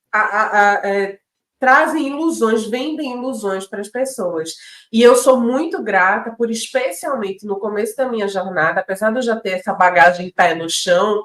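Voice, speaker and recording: A woman's fairly high voice with a northeastern Brazilian accent, an animated tone, lively intonation and a fairly slow pace. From Pernambuco, Brazil (Northeast). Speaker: podcast co-host, entrepreneur. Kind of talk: casual chat.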